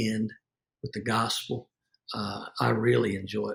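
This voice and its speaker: With a Southern US accent, a man talks at a moderate speed. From US South. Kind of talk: interview conversation.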